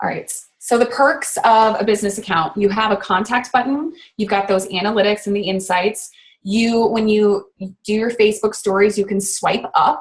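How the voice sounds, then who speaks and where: A woman's fairly high voice, somewhat breathy, shows ordinary pitch variation. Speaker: network marketer giving social media training. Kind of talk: online training webinar. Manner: fast; casual, filler-heavy.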